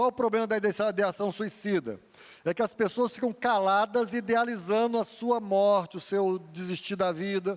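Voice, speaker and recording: The intonation is fairly even and the pace moderate. Loudness stays very even throughout. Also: man, high pitch for a man. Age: 60s. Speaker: guest preacher, mental health counselor. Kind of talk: sermon.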